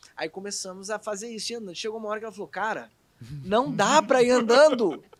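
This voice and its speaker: In a Rio de Janeiro accent, the speaker talks at a very fast pace. Pitch varies in an ordinary way while loudness swings widely. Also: man, high pitch for a man. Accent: carioca. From Rio de Janeiro, Brazil. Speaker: actor. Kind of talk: casual chat.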